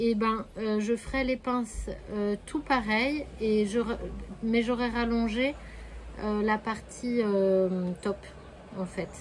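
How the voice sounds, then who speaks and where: A woman talks at a very slow pace, leaving long, frequent pauses. Her pitch is fairly high and her intonation fairly even. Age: 30s. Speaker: sewing podcaster. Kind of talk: casual podcast monologue. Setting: home, with her hens nearby. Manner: hesitant, many fillers.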